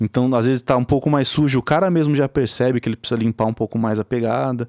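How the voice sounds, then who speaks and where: A man speaks at a fairly quick pace in an ordinary speaking voice, medium in pitch with ordinary pitch variation. The recording is very clean with a silent background and a dry, close sound with no echo. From interior of São Paulo state, Brazil. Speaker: music producer and guitarist. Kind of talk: casual interview chat.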